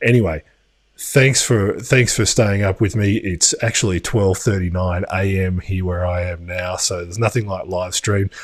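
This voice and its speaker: With an Australian accent, a man speaks at a very deep, low pitch and moderate pace. His intonation is fairly even, and the recording is very clean with a silent background. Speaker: crypto news youtuber. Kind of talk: live stream commentary. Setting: home studio. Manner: casual, hesitant with fillers.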